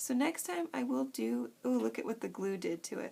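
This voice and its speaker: A woman mumbles at a moderate pace. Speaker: craft youtuber. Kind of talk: tutorial. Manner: frantic; mumbling.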